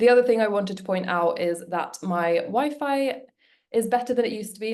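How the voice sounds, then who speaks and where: The speaker is a woman with a British accent. Her pitch varies in an ordinary way. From UK. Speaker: webinar host, business coach. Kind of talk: live webinar presentation. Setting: video call. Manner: casual, chatty.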